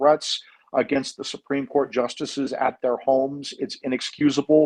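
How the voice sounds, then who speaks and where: Here a man speaks with an American accent at a fairly high pitch. The sound is dry and close, with no echo. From Iowa, Des Moines. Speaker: attorney and advocacy group founder. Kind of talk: interview.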